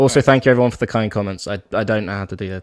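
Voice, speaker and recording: Speaking at a very fast pace with fairly even intonation, a man is captured in a dry, close sound with no echo and a very clean recording against a silent background. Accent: British. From UK. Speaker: guest on fan livestream. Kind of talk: casual chat. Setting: live stream.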